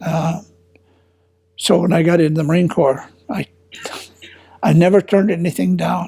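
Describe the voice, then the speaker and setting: A man with an American accent, high in pitch. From Minnesota, US Midwest. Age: 80s+. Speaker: war veteran. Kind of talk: oral history interview. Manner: halting.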